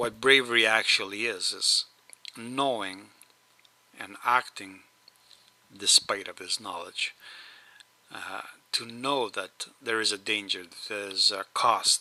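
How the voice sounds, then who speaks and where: A man with an Eastern European accent speaks very slowly at a medium pitch, with fairly even intonation, big swings in loudness and long, frequent pauses, over noticeable background noise. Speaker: video blogger. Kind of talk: rant. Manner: slurs words at times; hesitant, many fillers.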